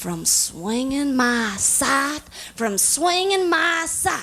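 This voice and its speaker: A put-on character voice, female-sounding and high-pitched, at a very slow pace. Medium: stage play. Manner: slow, ominous.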